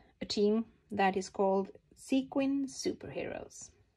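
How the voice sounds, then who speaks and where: Somewhat breathy, a woman speaks at a very slow pace with a fairly high pitch. Her intonation is lively. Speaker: papercraft hobbyist. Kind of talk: tutorial. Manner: halting; calm.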